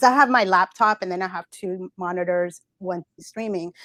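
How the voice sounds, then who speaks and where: In a very clean recording with a silent background, a woman with a Spanish accent speaks at a medium pitch, the sound dry and close with no echo. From Central America. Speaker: Twitch moderator. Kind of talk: interview. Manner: halting, many fillers and repetitions.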